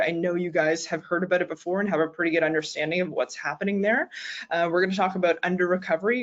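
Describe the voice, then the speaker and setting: With a Maritime Canadian accent, a woman talks at a medium pitch. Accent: Canadian (Maritimes). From Canada, Nova Scotia. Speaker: naturopathic doctor and sports dietitian. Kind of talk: lecture. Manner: fast.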